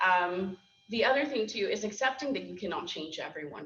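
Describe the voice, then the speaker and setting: A woman's medium-pitched voice at a fairly quick pace, with audible room echo and noticeable background noise. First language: Spanish. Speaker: program director and school board member. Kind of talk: interview at a lunch talk.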